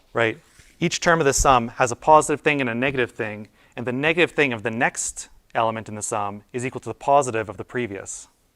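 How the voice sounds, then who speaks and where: At a very fast pace, a man speaks with a medium pitch, ordinary pitch variation, and big swings in loudness, the sound dry and close with no echo on a very clean recording with a silent background. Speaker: university lecturer. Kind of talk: lecture. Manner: casual, many fillers and restarts.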